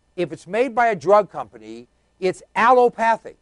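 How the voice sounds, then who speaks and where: A man speaks at a moderate pace with ordinary pitch variation. The sound is dry and close, with no echo. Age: 60s. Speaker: talk show host. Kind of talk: talk radio commentary.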